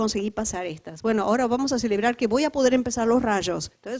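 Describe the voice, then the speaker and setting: In a Uruguayan accent, a woman speaks with a fairly high pitch. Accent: Uruguayan Spanish, noticeable. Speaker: lecturer on community resilience and spirituality. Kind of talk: lecture.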